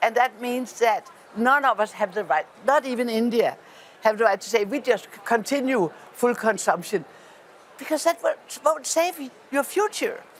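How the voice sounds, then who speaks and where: A Danish accent comes through at a moderate pace, with big swings in loudness and lively intonation. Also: woman, high pitch for a woman. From Denmark. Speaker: politician. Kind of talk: panel discussion. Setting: parliament event. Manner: halting.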